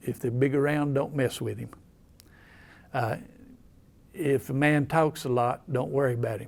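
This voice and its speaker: A man's dark, mellow voice with fairly even intonation and an Appalachian accent. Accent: Southern US, Appalachian. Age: 70s. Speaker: local historian. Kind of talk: storytelling. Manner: folksy, halting.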